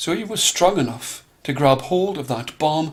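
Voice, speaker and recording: A man is speaking. He has a plain, everyday voice. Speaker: storyteller. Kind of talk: storytelling for children.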